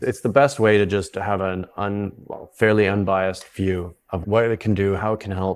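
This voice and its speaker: A plain, everyday voice from a man with a Canadian accent, fairly low in pitch, at a moderate pace with hardly any pauses and fairly even intonation, on a very clean recording with a silent background. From South Africa. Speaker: psychedelic retreat founder. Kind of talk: podcast interview.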